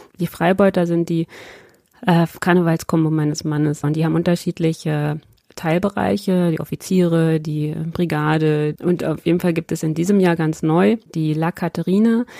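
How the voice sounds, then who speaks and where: In a dry, close sound with no echo, a woman talks in a dark, mellow tone. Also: fairly low pitch for a woman, ordinary pitch variation, moderate pace. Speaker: member of parliament. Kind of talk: interview. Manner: hesitant, many fillers.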